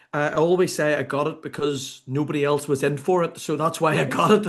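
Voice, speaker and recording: Against a quiet background, a man with an Irish accent talks at a fairly quick pace in a fairly high pitch. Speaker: sports consultant and author. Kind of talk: podcast interview. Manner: speeds up when excited.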